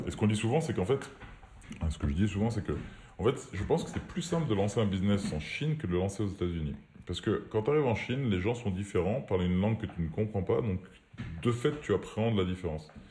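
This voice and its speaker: A man with a fairly low pitch speaks at a very fast pace, somewhat breathy, with a dark, mellow tone and lively intonation. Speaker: entrepreneur. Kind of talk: casual chat. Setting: remote recording.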